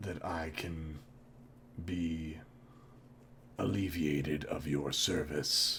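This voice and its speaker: Over clear background noise, a man in a put-on character voice speaks very slowly at a very deep, low pitch, with long, frequent pauses. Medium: actual play. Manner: calm, measured.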